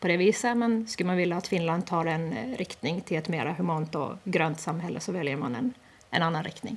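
A woman with an unremarkable speaking voice and a fairly low pitch talks at a moderate pace. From Åland, Eckerö. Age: 30s. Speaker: parliamentary candidate. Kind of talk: radio interview.

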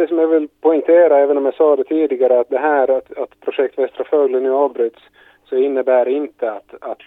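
An unremarkable speaking voice with fairly even intonation at a moderate pace. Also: man. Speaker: government minister. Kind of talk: news interview.

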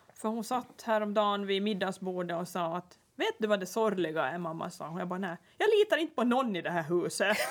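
Noticeable background noise runs behind a woman who talks with hardly any pauses. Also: medium pitch for a woman, ordinary pitch variation, fairly quick pace. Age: 40s. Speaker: podcast host. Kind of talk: casual chat.

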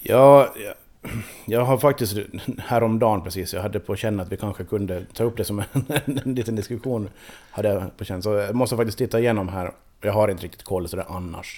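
Fairly even in intonation, a man's voice has a dark, mellow tone and a fairly low pitch. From Åland. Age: 40s. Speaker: powerlifter. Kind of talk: radio interview.

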